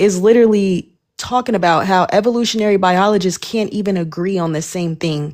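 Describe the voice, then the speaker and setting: An ordinary speaking voice with ordinary pitch variation. It moves at a moderate pace. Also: woman. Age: 20s. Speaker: live stream co-host. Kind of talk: heated debate. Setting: social media live stream.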